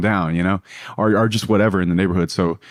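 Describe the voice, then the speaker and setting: In a Louisiana accent, a man talks with a very deep, low voice and fairly even intonation. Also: quiet background. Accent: Southern US (Louisiana). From US South, South Louisiana. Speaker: businessman. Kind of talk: podcast interview. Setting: in London.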